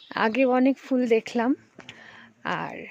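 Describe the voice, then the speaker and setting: With a dry, close sound and no echo, a woman speaks at a high pitch. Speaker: trek group member. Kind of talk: travel vlog commentary. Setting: outdoors in forest.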